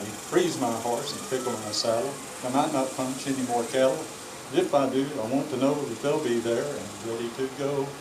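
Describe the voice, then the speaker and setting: A man with an American accent speaks at a moderate pace and medium pitch, his intonation fairly even. Noticeable background noise runs under the recording. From Texas. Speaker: cowboy poet. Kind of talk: poetry reading. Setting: outdoors.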